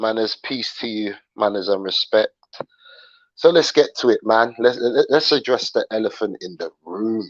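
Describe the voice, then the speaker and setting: A man with a British accent talks at a moderate pace, his loudness swinging widely. The sound is dry and close with no echo, over a quiet background. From London, England. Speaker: YouTube livestream host. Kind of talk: livestream commentary chat. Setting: live stream. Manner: casual, repetitive, with fillers.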